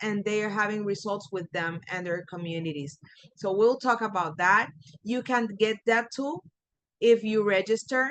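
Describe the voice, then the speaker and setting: A woman with a Puerto Rican accent speaks at a medium pitch. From Puerto Rico. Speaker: coach and trainer. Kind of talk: webinar presentation. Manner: animated.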